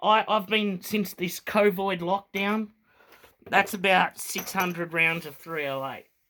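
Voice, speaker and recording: A raised, projected voice with a bright, sharp tone and fairly even intonation, in an Australian accent. The pace is very slow. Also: man. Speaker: firearms hobbyist vlogger. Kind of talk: tutorial. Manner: casual, hesitant with fillers.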